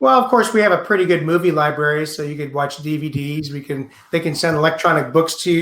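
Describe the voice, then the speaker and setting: Speaking at a moderate pace, a man with an American accent has a plain, everyday voice pitched fairly high. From United States. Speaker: astronaut. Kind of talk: Q&A in a webinar.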